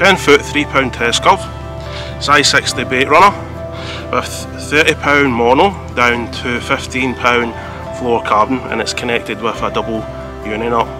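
A man talks with long, frequent pauses. The sound is dry with no echo, and clear music plays in the background. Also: fairly slow pace. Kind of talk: tutorial. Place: waterside. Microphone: phone near.

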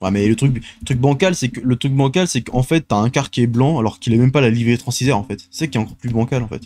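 A man speaks at a very fast pace in a dark, mellow tone. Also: ordinary pitch variation. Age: 20s. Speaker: gaming and transport news video host; streamer. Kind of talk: solo casual show commentary. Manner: halting, many fillers and repetitions. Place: home room. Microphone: studio mic.

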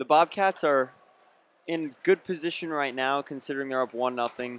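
In an ordinary speaking voice, a man talks at a moderate pace with fairly high pitch and fairly even intonation, the sound dry and close with no echo. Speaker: color commentator. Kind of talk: live sports commentary. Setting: broadcast booth at arena. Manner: conversational, analytical, measured color commentary between plays.

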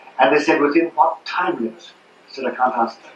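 A man with an Irish accent talks very fast in a room with audible echo and light background noise. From Ireland. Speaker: former priest. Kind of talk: public lecture. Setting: live talk, poor-quality audio. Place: hall. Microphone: pa.

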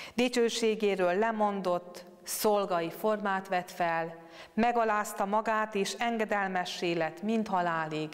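Against a quiet background, a woman speaks at a very slow pace with ordinary pitch variation. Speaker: speaker. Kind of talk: scripture reading and meditation. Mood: calm, solemn. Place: church. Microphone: lapel.

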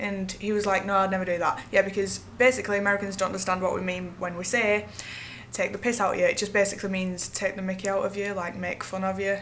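Over light background noise, a woman speaks at a very fast pace in a monotone, flat intonation. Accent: Manchester. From Northern England. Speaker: vlogger and singer-songwriter. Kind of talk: casual talk to camera. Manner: casual, sarcastic. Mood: playful, giggly. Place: home room. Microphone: webcam.

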